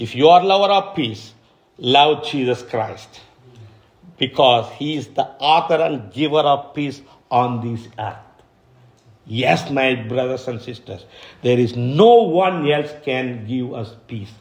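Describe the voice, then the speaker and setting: Someone with an Indian accent speaks at a very slow pace, leaving long, frequent pauses. The loudness swings widely, and audible room echo is present. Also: man, medium pitch for a man, ordinary pitch variation. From India, Kadapa (Andhra Pradesh). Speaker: missionary pastor. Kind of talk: sermon. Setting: church service. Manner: hesitant, repeats words.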